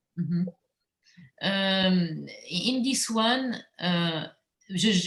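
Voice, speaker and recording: Speaking with a French accent, a woman uses a medium pitch, ordinary pitch variation and a somewhat breathy voice. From Normandy, France, teen years in Guadeloupe. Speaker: visual artist. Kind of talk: interview. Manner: halting.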